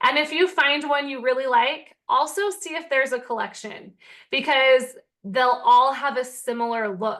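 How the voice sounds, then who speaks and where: A woman's voice sits high in pitch with ordinary pitch variation. Her tone is animated. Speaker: teacher-author and online seller. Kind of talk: tutorial.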